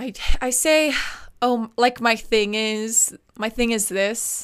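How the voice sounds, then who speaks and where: On a very clean recording with a silent background, the speech moves at a very slow pace with ordinary pitch variation. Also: woman. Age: 20s. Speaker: podcast co-host. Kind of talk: casual chat. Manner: animated.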